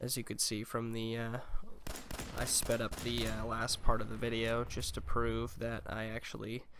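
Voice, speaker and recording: A quiet man at a fairly slow pace. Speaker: gaming YouTuber. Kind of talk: gameplay commentary. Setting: home recording, dubbed commentary.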